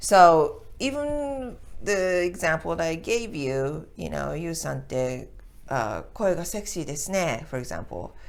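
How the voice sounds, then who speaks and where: A woman speaks at a fairly slow pace in a Japanese accent. Audible echo fills the room. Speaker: Japanese language teacher. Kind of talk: tutorial. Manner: casual, halting with fillers.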